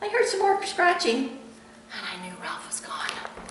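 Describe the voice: What you hear here is plain reading aloud.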